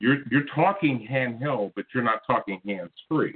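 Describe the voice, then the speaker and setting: Here is a man with an ordinary speaking voice. He talks at a moderate pace with lively intonation. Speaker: call-in show caller. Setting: phone.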